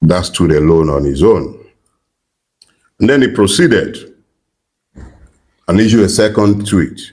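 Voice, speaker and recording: A man with a fairly low voice talks at a fairly slow pace, taking long, frequent pauses, his intonation lively and his loudness very even. Audible room echo surrounds him. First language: not English. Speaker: political commentator. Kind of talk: political commentary. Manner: deliberate.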